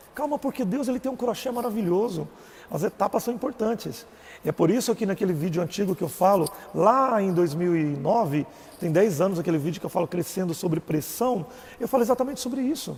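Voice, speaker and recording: A man with a Goiás accent, high-pitched and fairly quick. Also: lively intonation. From Brazil, Goiás. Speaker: religious live streamer. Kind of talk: personal testimony live stream. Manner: casual.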